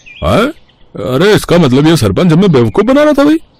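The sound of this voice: A cartoonish character voice from a man, fairly high-pitched and slightly mellow, at a fairly quick pace with very wide pitch swings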